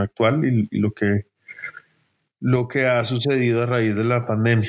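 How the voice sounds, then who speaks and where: A man's medium-pitched voice with a Bogotá accent, fairly slow and flat in a monotone. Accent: Bogotá Colombian Spanish. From Colombia, Bogotá. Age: 30s. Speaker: art gallery director. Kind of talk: interview. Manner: halting, many fillers and repetitions.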